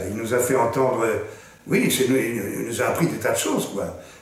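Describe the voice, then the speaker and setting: The recording of this man carries audible room echo. Noticeable background noise sits underneath. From Belgium, Brussels. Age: 70s. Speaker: actor. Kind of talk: interview, personal recollection. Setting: school archive room. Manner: slow, measured.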